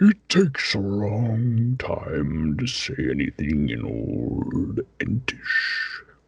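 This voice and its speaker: A man's put-on character voice at a very slow pace. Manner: slow, ponderous.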